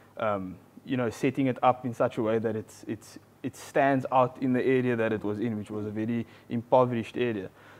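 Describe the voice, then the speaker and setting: A man talks at a fairly quick pace. His intonation is flat and monotone. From South Africa, Paarl (Western Cape). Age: 20s. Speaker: medical doctor turned entrepreneur. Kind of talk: casual interview. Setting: live event with audience. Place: studio.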